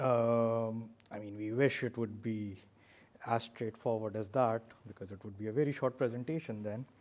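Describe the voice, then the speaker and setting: A man with a non-native accent at a fairly slow pace. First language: not English. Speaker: doctor and aid worker giving a talk. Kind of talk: talk. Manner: hesitant, many fillers.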